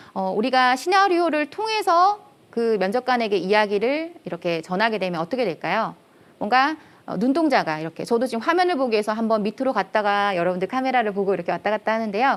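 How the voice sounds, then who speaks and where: A loud woman talks at a very fast pace with very wide pitch swings, in a very clean recording with a silent background. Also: fairly high pitch for a woman. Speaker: career lecturer, company head. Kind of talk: lecture.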